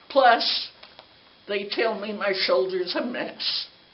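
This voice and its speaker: A woman with an American accent speaks at a fairly slow pace and a fairly high pitch. Audible room echo and noticeable background noise fill the recording. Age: 80s. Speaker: resident addressing city council. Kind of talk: public comment complaint. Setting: city council meeting.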